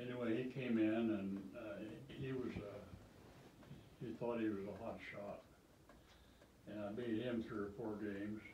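There is audible room echo and light background noise as a man speaks at a fairly slow pace in a monotone, flat intonation. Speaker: retired great-grandfather. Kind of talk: casual chat. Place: home room.

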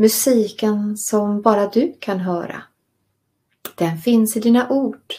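Very slowly, a woman speaks in a calm, soothing, dark and mellow tone, somewhat breathy, with fairly high pitch and ordinary pitch variation. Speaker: meditation and writing course teacher. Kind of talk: guided meditation and lecture.

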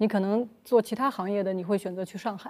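Fairly quickly, a woman speaks in a dark, mellow tone. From Shanghai. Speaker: guest commentator. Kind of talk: roundtable discussion. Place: studio. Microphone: lapel.

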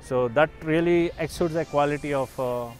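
The voice has ordinary pitch variation and a dry sound with no echo, with faint music in the background. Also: man. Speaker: car owner reviewer. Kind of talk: car review walkaround. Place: open country.

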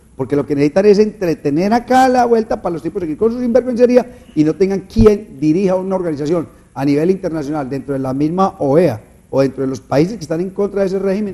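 A man talks at a very fast pace in a high voice. His intonation is lively. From Antioquia, Colombia. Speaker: panel commentator. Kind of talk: political talk show discussion. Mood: indignant political opinion. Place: studio. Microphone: lapel.

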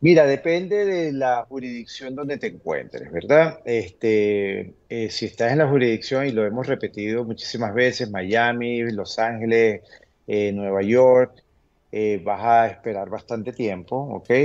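A man at a fairly slow pace with ordinary pitch variation. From Venezuela. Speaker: immigration lawyer. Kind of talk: TV interview answering viewer questions. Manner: frequent fillers and hesitations. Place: home room. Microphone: video call.

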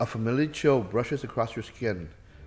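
Someone reads in an unforced voice. The pitch moves up and down in an ordinary way.

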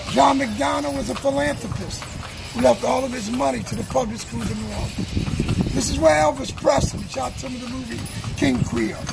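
Fairly quick speech from a man, with noticeable background noise behind him. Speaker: carriage tour guide. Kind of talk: tour guide commentary. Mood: joking, chatty. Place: street. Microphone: camera far.

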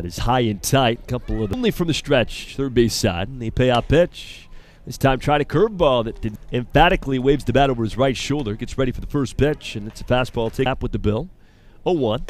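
Man with an ordinary speaking voice, medium pitch, ordinary pitch variation and a fairly quick pace. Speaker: baseball play-by-play announcer. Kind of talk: live sports commentary, play-by-play of a baseball game.

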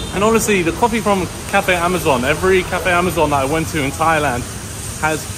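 A man speaks at a fairly quick pace and ordinary pitch variation while noticeable background noise is present. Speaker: travel vlogger. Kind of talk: casual vlog chat. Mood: pleased, upbeat. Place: street. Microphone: phone near.

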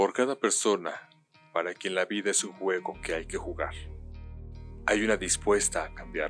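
Over background music, a man talks at a moderate pace with long, frequent pauses. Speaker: voice actor. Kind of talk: TV commercial read.

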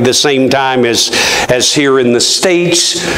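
With audible room echo around him, a man speaks at a very slow pace with ordinary pitch variation. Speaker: preacher. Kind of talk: sermon. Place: church.

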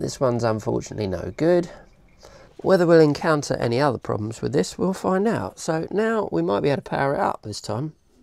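With a British accent and vocal fry, a woman with a very deep, low pitch talks at a fairly quick pace with very wide pitch swings, in a dry sound with no echo against a quiet background. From UK. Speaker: electronics hobbyist YouTuber. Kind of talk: tutorial. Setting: workshop bench. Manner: casual, conversational. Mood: cheerful, chatty. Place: workshop. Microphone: lapel.

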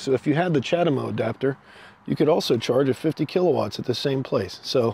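Fairly quick delivery with ordinary pitch variation and a dry sound with no echo. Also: man. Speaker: vlogger demonstrating EV charging. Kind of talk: tutorial. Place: street. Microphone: phone near.

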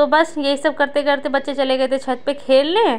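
A woman's high-pitched voice. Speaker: family vlogger, housewife; family vlogger. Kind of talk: daily vlog narration. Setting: at home.

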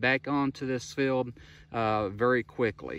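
A man talks at a fairly slow pace with fairly even intonation. The sound is dry, with no echo. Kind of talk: field tour commentary. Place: open country. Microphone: phone near.

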